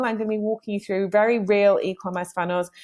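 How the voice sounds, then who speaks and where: Speaking at a fairly quick pace with an energetic tone, a woman with a British accent comes through on a very clean recording with a silent background. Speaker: digital marketing trainer. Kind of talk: presentation. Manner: fast.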